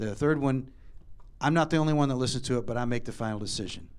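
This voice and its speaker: Talking at a very fast pace, a man with an American accent uses an animated tone and ordinary pitch variation. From West Virginia. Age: 60s. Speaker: radio host. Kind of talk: Q&A session.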